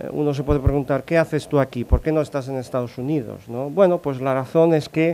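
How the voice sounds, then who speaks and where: A man with a fairly high pitch, a fairly quick pace, fairly even intonation and hardly any pauses. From Italy. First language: Italian (speaking Spanish). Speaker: corporate sales modelling analyst. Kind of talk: conference talk. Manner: halting, many fillers.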